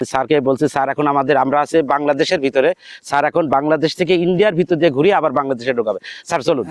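A man speaks in an unremarkable speaking voice, fairly high in pitch with ordinary pitch variation and very even loudness. The sound is dry and close with no echo. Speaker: vlogger. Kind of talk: walking tour vlog narration. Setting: outdoors.

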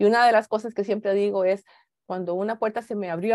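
A woman at a fairly quick pace, in dry sound with no echo and a quiet background. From Costa Rica. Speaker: space agency engineer and executive; keynote speaker. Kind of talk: keynote talk; keynote talk, personal story. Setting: video call. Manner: halting, many fillers. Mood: earnest, reflective. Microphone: video call.

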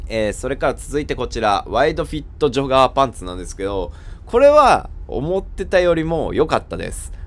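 A man talks at a fairly quick pace. His loudness swings a lot. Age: 30s. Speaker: vintage clothing buyer and stylist, fashion YouTuber. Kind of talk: product review video. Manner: casual, many fillers.

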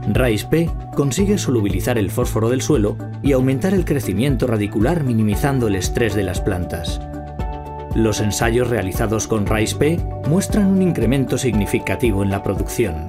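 A man delivers his words at a moderate pace, with clear music audible behind him. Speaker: voice-over artist. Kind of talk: TV commercial read. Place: studio.

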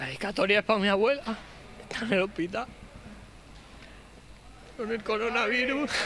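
Raised and projected, a man's high voice moves at a fairly quick pace with fairly even intonation, yet long pauses come often. Light background noise sits underneath. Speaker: professional footballer. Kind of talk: post-game interview answer. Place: stadium. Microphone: handheld.

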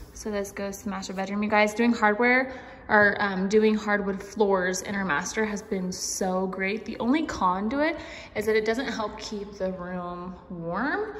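A woman speaks fairly slowly, her pitch moving in an ordinary way. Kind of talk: casual vlog chat. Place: home room. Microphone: phone near.

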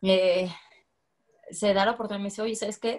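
Over a quiet background, a woman speaks at a very fast pace. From Guadalajara, Jalisco, Mexico. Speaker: women's football coach; women's football head coach. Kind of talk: interview; interview answer. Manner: casual, many fillers. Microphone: video call.

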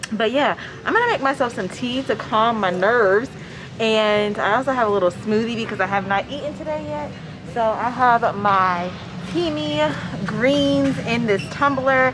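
Moderate-paced female speech amid noticeable background noise. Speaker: flight attendant vlogger. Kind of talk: casual vlog chat. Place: station. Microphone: phone near.

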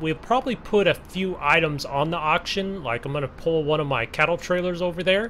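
A man speaks at a high pitch. Noticeable background noise runs behind him. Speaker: farming simulator YouTuber. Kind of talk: casual talk to camera. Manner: casual, conversational.

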